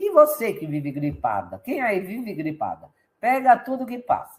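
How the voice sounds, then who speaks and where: A woman's animated tone carries very wide swings in pitch. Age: 60s. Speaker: health coach. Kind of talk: live stream sales talk. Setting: live stream with chat.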